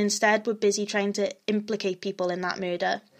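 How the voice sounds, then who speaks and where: Against a quiet background, a woman talks at a very fast pace. Her pitch is medium, and she speaks with a Welsh accent. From Wales. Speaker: true crime podcaster. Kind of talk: scripted-ish narration of a true crime case, casual intro. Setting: home recording, alone at microphone. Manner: hesitant, uses many ums, self-deprecating.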